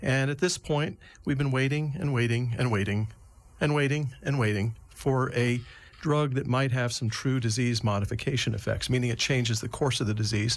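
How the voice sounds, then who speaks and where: Here a man with a medium pitch speaks at a moderate pace, his voice somewhat breathy. His loudness stays very even, with ordinary pitch variation. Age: 60s. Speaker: neurologist. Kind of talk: interview.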